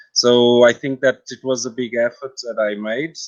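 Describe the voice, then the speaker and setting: In a Portuguese accent, a man talks at a fairly slow pace with a medium pitch. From Portugal. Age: 40s. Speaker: translator and guide. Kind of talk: interview. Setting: live video stream. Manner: halting.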